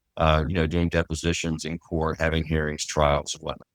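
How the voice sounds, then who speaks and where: In a very clean recording with a silent background and a dry, close sound with no echo, a man speaks with a Texan accent at a very deep, low pitch. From Texas. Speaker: trust and estate litigation lawyer. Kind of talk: interview.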